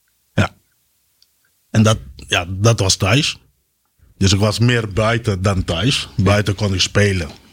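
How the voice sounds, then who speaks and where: A man speaks very slowly in a fairly low, somewhat breathy voice, with long, frequent pauses. His loudness stays very even and his intonation fairly even. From Curaçao. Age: 40s. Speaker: military sergeant, war veteran. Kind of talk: interview testimony.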